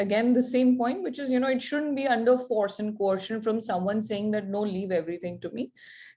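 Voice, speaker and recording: A woman speaks at a fairly quick pace in a fairly high, somewhat breathy voice. Her tone is dark and mellow, with ordinary pitch variation. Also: hardly any pauses. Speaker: lawyer. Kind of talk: online workshop presentation.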